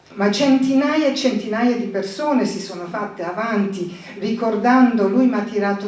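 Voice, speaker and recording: A woman speaks with fairly even intonation. Noticeable background noise and audible room echo surround her. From northern England, near Scottish border. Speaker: wine translator. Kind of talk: commemorative speech. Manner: halting.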